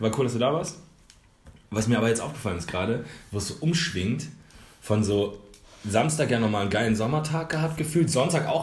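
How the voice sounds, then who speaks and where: Amid audible room echo, a man speaks at a fairly quick pace, his pitch swinging very widely. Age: 30s. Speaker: podcast co-host. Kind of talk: casual chat.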